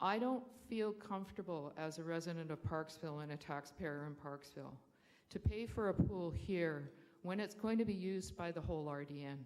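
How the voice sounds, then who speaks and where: Here a woman speaks with a Canadian accent and a fairly low pitch. Her intonation is lively, her pace moderate, and there is audible room echo. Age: 60s. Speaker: public speaker at council meeting, school trustee. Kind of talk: public comment at council meeting.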